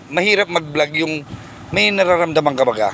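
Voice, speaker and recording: A fairly quick delivery amid noticeable background noise, with ordinary pitch variation. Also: man. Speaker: vlogger. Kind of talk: casual chat. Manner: animated; softer speech today.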